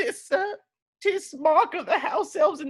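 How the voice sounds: The speaker has a natural reading voice, set against a quiet background.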